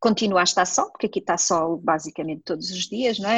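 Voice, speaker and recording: A woman's somewhat breathy, medium-pitched voice at a fairly quick pace, with ordinary pitch variation, a quiet background, and a dry, close sound with no echo. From northern Portugal, near Porto. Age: 40s. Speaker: nurse. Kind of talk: casual interview.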